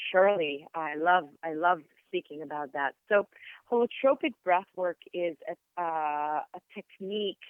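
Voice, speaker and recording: The speaker talks at a fairly slow pace with an Israeli accent. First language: Hebrew. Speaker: sound therapist and yoga teacher. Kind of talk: interview. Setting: podcast. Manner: hesitant with fillers.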